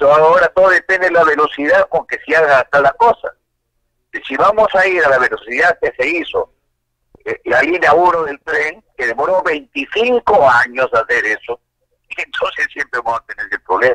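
Recorded in a dry, close sound with no echo, a man delivers his words at a moderate pace. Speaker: congressman. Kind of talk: phone interview. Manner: halting.

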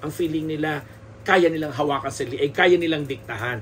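Over light background noise, a man with a fairly high voice talks at a very fast pace. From Philippines. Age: 50s. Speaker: showbiz columnist and podcaster; showbiz commentary host. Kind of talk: solo podcast commentary. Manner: halting with many fillers and repetitions. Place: home room. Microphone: studio mic.

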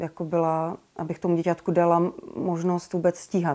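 A woman speaks at a very slow pace with a fairly low pitch and a dark, mellow tone. The background is quiet. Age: 30s. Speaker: expectant mother giving a course testimonial. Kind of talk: testimonial. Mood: warm, calm, reflective. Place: home room.

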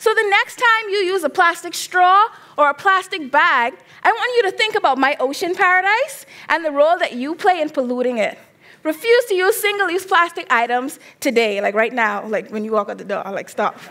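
Projecting a raised voice at an extremely high pitch, a woman speaks at a fairly quick pace with very wide pitch swings and a bright, sharp, animated tone. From Bahamas. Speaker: graduate student; presenter. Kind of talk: competition presentation. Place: stage. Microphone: headset.

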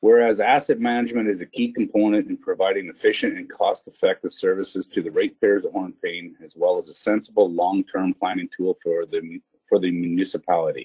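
A man talks at a fairly quick pace, low in pitch, with a slightly mellow tone and a slightly husky edge. His intonation is fairly even, and the sound is dry and close with no echo.

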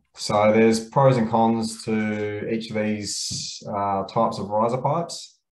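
A man's fairly low voice with ordinary pitch variation and audible room echo. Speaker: presenter. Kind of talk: webinar presentation. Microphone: webcam.

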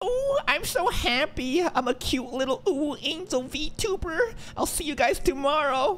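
In a put-on, high-pitched character voice, the speaker keeps a moderate pace with hardly any pauses, against clear background noise. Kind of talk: reaction commentary. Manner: cutesy, sugary, exaggerated.

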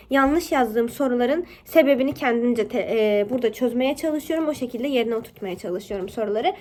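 A woman speaks with a high pitch at a fairly quick pace. Her intonation is lively. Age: 20s. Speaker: YouTuber and university student. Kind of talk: tutorial.

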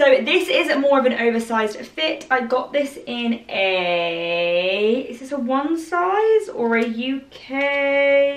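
A woman with an English accent speaks at a very slow pace in a high pitch. Her voice makes very wide pitch swings, with audible room echo. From England. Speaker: fashion YouTuber. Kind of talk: try-on haul video. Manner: excitable. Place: home room. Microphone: camera far.

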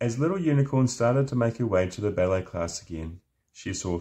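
With lively intonation, a natural reading voice is heard against a quiet background.

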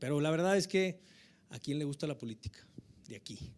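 A man speaks with a northern Mexican accent at a fairly high pitch. His pace is moderate and his pitch variation ordinary. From Mexico. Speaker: government tourism official, politician; politician. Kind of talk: informal speech. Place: hall. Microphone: handheld.

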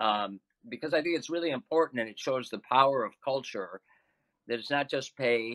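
A man with a plain, everyday voice speaks at a medium pitch with ordinary pitch variation. His loudness swings widely, and the sound is dry and close with no echo. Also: moderate pace. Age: 60s. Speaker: semi-retired podcast co-host. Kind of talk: panel discussion.

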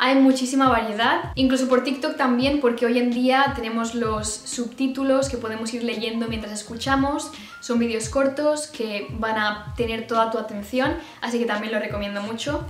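A woman with a high voice speaks amid light background noise and audible room echo. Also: moderate pace. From Spain. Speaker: YouTuber. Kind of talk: casual talk to camera. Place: home room.

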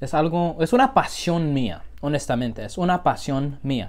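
A man speaks at a very slow pace in a fairly high voice with a strong American accent. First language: English (speaking Spanish). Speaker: food vlogger. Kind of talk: casual chat; casual vlog chat. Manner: halting. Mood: relaxed, cheerful. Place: home room. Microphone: phone near.

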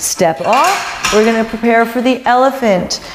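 Clear music plays in the background. A woman talks at a fairly slow pace. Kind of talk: exercise coaching cues. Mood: encouraging, rhythmic cueing. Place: studio.

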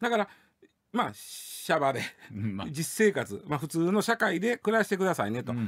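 This man speaks in a Kansai accent at a high pitch. His intonation is lively. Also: moderate pace, quiet background. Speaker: news commentator. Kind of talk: casual radio news discussion. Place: studio.

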